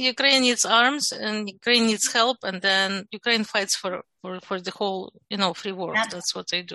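A woman's medium-pitched voice with a bright, sharp tone, fairly slow pace, hardly any pauses and ordinary pitch variation, in a dry, close sound with no echo. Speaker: podcast guest. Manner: speaks slowly and deliberately.

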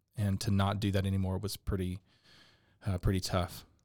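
In a very clean recording with a silent background, a man speaks with a Texan accent. His tone is dark and mellow, and his pitch is fairly low. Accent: Texan American. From Texas, Dallas. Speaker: business owner, furniture maker and musician. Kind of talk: interview.

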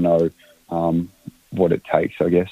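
Fairly quick speech with an Australian accent. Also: man. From Australia, Canberra. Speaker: footballer and playing coach. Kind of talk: interview. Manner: halting.

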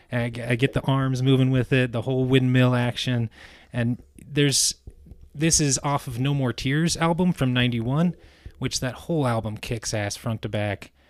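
A man with an ordinary speaking voice, his medium pitch and fairly even intonation moving at a moderate pace. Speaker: occasional podcast co-host, music fan. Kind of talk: casual chat.

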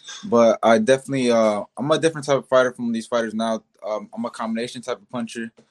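Very fast male speech at medium pitch, fairly even in intonation, with a dry, close sound and no echo. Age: 20s. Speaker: professional boxer. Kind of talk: interview.

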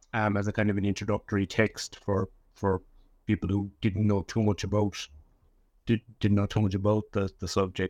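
Delivered at a moderate pace with long, frequent pauses, the speech has monotone, flat intonation and a dry, close sound with no echo. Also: man. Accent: Cork. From Ireland, West Cork. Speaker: historian and author. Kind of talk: interview. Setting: remote recording from Cork. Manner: halting, frequent repetitions.

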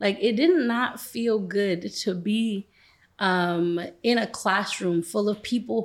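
A woman with an American accent and a normal speaking voice talks at a medium pitch with ordinary pitch variation in a very clean recording with a silent background. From Brooklyn, New York. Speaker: nonprofit CEO. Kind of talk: interview.

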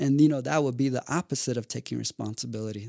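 Dry and close with no echo, a man's voice at medium pitch races along at a very fast pace with ordinary pitch variation. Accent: American. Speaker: mental health professional. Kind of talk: casual interview chat. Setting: studio.

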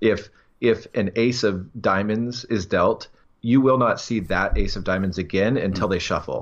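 This man has a fairly low pitch and a normal speaking voice. He talks at a moderate pace. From US, Washington State. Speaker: professional card counter. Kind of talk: interview.

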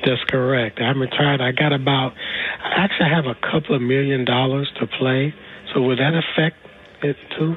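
With noticeable background noise behind him, a man of medium pitch talks at a fairly quick pace, his intonation fairly even and his loudness very even. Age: 60s. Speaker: retiree calling in. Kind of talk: radio call-in question.

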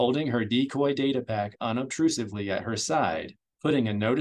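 The reading voice sounds natural, and its pitch varies in an ordinary way. Nothing much can be heard behind it.

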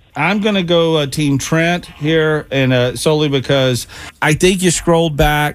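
A man talks in an unremarkable speaking voice, fairly high-pitched for a man, at a fairly slow pace. His pitch varies in an ordinary way and his loudness stays very even. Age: 50s. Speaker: radio host. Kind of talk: radio DJ patter, bantering morning-show chat with co-hosts. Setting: studio.

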